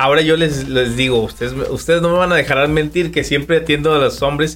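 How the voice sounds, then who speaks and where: This is a man with an unremarkable speaking voice, pitched fairly high. His intonation is fairly even and his pace moderate. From Durango, Mexico. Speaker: barber. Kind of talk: casual interview.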